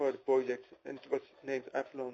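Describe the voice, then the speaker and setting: A man with a non-native accent talks at a fairly quick pace in a medium pitch. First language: not English. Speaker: programmer. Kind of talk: personal testimony. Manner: hesitant with many fillers.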